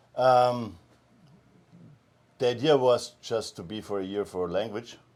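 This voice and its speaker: In a German accent, a man speaks at a fairly slow pace and a medium pitch on a very clean recording with a silent background. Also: ordinary pitch variation. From Austria, small mountain town. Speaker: med spa co-founder, massage therapist. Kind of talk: interview.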